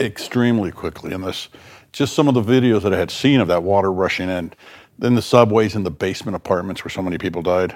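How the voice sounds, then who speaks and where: A man's fairly low voice with an American accent, very fast, with ordinary pitch variation. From South Florida. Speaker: podcast host and medical school dean. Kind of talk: interview. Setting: studio.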